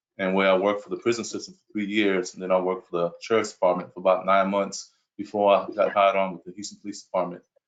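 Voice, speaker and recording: Talking very fast, a man speaks with a New York accent. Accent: New York accent, noticeable. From Brooklyn, New York. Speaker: police chief candidate. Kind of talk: job interview answers at virtual town hall. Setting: video call.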